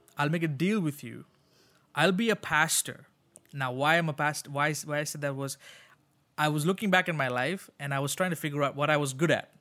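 In a very clean recording with a silent background, a man with a fairly high pitch and a bright, sharp tone speaks at a moderate pace, with ordinary pitch variation and long, frequent pauses. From Sri Lanka. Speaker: pastor. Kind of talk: interview conversation. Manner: halting, with many repeated words.

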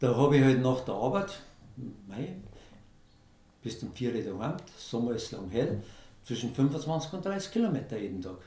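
A man speaks with very wide pitch swings and long, frequent pauses. Audible room echo surrounds his voice. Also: medium pitch for a man, moderate pace. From Bavaria, Lower Bavaria (Germany). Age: 60s. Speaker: amateur ultramarathon runner. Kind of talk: interview.

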